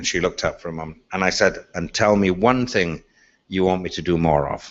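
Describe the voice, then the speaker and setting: A man with an Irish accent talks at a fairly quick pace. His very deep, low pitch shows ordinary pitch variation. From Ireland. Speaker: speaker on leadership.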